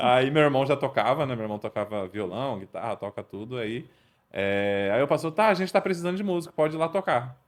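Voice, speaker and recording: Captured in a very clean recording with a silent background, a man of medium pitch speaks at a fairly quick pace with very wide pitch swings. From São Paulo state, Brazil (Mauá). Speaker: podcast co-host. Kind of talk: casual chat.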